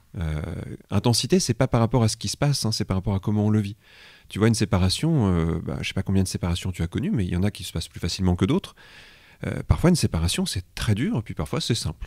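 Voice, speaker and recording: A man talks at a very fast pace with lively intonation and a fairly low pitch. The sound is dry and close, with no echo. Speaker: hypnosis practitioner and trainer. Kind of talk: interview answer.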